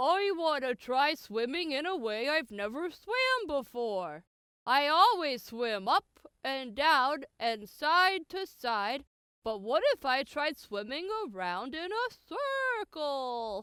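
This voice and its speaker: This is a put-on character voice that sounds female. Its pitch is high. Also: fairly slow pace. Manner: excited, proud.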